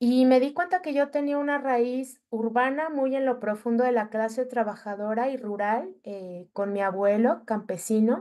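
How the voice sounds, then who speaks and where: A woman speaks slowly-ish, at a fairly slow pace, in a high pitch with a dark, mellow tone. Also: ordinary pitch variation, hardly any pauses. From Mexico City. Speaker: journalist. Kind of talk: workshop talk.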